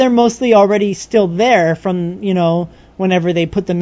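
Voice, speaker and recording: Here a woman talks in a fairly low pitch. Her pitch varies in an ordinary way. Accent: Californian. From Southern California (Riverside area). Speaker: podcast co-host. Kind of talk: casual chat.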